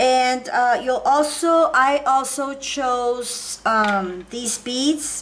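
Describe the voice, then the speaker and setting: Speaking very slowly in a Spanish accent, a woman with a high-pitched voice is heard over noticeable background noise. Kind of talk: tutorial. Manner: hesitant, many fillers.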